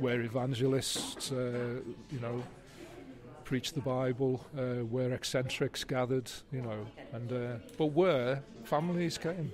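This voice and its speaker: With music in the background, a man speaks at a fairly slow pace with long, frequent pauses. His medium-pitched voice keeps a fairly even intonation. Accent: Liverpool. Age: 60s. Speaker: writer. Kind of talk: interview. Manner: halting.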